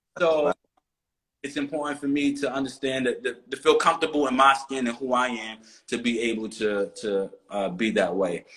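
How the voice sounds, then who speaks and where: He talks at a moderate speed. This man's pitch is medium, with ordinary pitch variation. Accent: East Coast US. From US East Coast. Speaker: interview guest. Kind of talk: casual interview.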